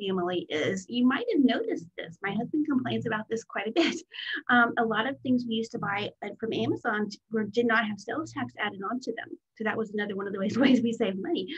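The voice is somewhat breathy, with lively intonation at a fairly quick pace. The background is quiet. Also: woman. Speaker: business coach. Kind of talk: training talk. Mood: friendly, occasional laughs. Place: home room. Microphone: webcam.

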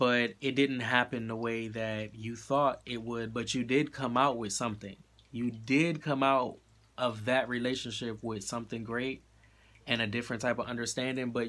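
At a moderate pace, a man speaks in a monotone, flat voice. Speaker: tarot card reader. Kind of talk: tarot reading monologue. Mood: reassuring, encouraging. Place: home room. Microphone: phone near.

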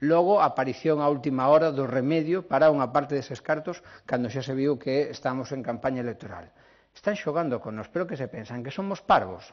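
A man rattles along at a very fast pace with ordinary pitch variation, the background quiet. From Galicia. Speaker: politician. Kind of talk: press conference statement. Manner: formal. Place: hall. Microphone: podium.

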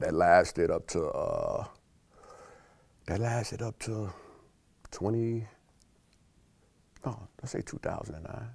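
The speaker talks at a very slow pace with an American accent. Long pauses come often. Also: man. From South Side of Chicago. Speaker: food company employee. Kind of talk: interview answer. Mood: calm, reflective life story. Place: studio. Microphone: lapel.

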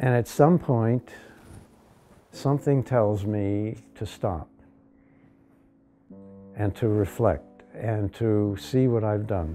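A man's fairly low voice at a very slow pace, with ordinary pitch variation, long, frequent pauses, and faint music in the background. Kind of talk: interview answer. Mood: calm, thoughtful. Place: workshop.

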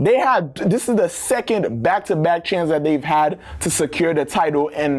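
A man at a moderate pace, fairly high in pitch with ordinary pitch variation and a slightly mellow tone, over faint background noise

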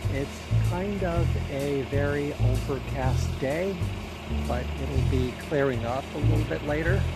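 At a fairly slow pace, a man speaks over loud music in the background. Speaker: brand ambassador vlogger. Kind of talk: casual vlog chat. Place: street. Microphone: phone near.

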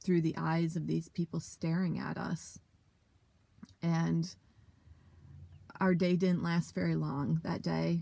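With long, frequent pauses, a woman speaks very slowly. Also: dry sound with no echo. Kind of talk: interview answer. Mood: reflective, emotional. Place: car. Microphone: phone near.

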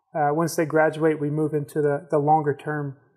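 Against a quiet background, a man with a fairly high pitch talks at a moderate pace. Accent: American. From Georgia, US South. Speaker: nonprofit ministry leader, Marine. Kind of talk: casual interview. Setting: studio. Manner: halting, with many fillers. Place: studio. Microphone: lapel.

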